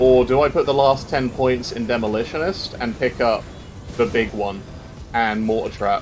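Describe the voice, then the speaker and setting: With a British accent, a man speaks at a moderate pace with ordinary pitch variation. Music plays in the background. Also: medium pitch for a man. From Britain. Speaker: game streamer. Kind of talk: live gameplay commentary. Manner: casual, chatty.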